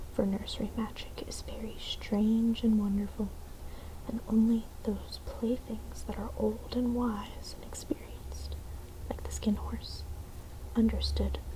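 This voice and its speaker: Very slow and soft-spoken, this gentle-toned voice comes over noticeable background noise. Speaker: ASMR content creator reading a bedtime story. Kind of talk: soft-spoken bedtime story reading. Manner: soft-spoken, gentle.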